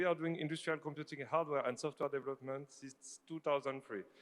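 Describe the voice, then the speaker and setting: A man talks very fast in a French accent. His pitch is fairly high. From France. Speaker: company CEO. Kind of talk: conference presentation. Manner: animated; halting.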